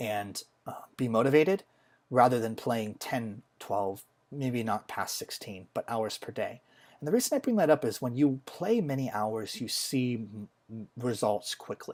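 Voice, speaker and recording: A man with an unremarkable speaking voice at a medium pitch, ordinary pitch variation and a fairly slow pace, on a very clean recording with a silent background. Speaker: software engineer. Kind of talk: casual gaming commentary.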